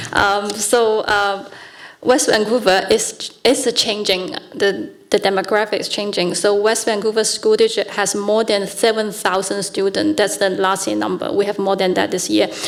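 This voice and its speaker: Over noticeable background noise, a woman with a non-native accent speaks at a moderate pace in a medium-pitched voice with fairly even intonation. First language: not English. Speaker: school board candidate. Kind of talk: candidates debate. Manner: hesitant, many fillers.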